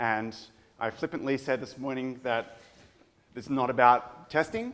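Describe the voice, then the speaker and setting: A man speaks with an Australian accent. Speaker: product manager giving conference talk. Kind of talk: conference talk.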